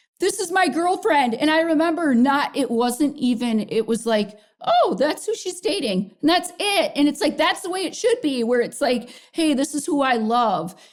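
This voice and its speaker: A woman's energetic, high-pitched voice in a Minnesotan accent, with very wide pitch swings at a moderate pace. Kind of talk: interview answer. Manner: energetic, outspoken.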